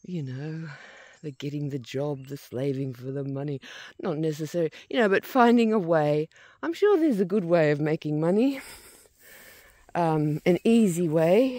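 The speech moves at a fairly slow pace, with a dry sound and no echo. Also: quiet background. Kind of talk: casual vlog chat. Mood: reflective, relaxed, laughing. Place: open country. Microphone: phone near.

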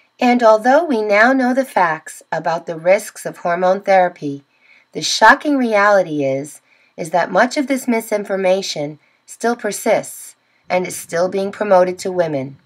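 A woman with a normal speaking voice talks at a moderate pace with lively intonation. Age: 50s. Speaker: YouTube creator on women's health. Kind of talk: informational talk to camera.

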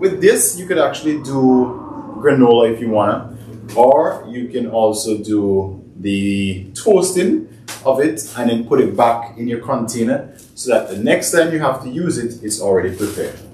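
Speaking at a moderate pace, a man is heard with audible room echo. Light noise sits in the background. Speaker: fitness cooking vlogger. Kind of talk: tutorial. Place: kitchen. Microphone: camera far.

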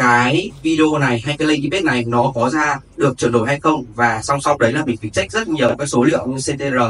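In a plain, everyday voice, a man speaks at a moderate pace and a fairly high pitch with ordinary variation, hardly pausing, over light background noise. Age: 20s. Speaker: student of an online marketing course. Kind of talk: testimony. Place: hall.

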